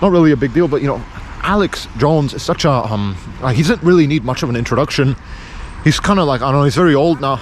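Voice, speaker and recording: Noticeable background noise sits behind a man talking at a very fast pace. His fairly high pitch moves in lively intonation. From Pakistan. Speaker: vlogger. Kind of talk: casual vlog monologue. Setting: outdoors by a road. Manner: halting, repetitive.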